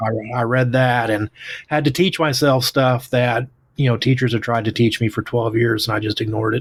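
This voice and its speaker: At a moderate pace and medium pitch, a man talks in a strong Oklahoma accent. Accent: Oklahoma twang, strong. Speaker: author and English teacher. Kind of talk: casual interview chat.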